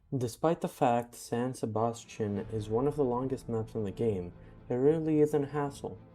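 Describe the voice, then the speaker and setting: Music plays in the background. The speaker talks at a moderate pace. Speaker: gaming YouTuber. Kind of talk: game commentary voice-over. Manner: quiet at some parts.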